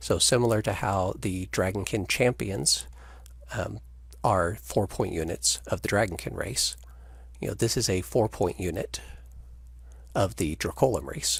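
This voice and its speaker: A man's very deep, low voice with vocal fry, very wide pitch swings, and long, frequent pauses. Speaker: game designer presenting new rules. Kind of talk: video call rules discussion. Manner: fast.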